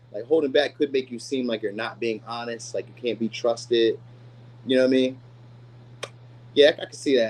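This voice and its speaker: A man speaks at a fairly quick pace. His pitch sits in the medium range. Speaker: tarot reader. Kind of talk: tarot reading. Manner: fast; casual.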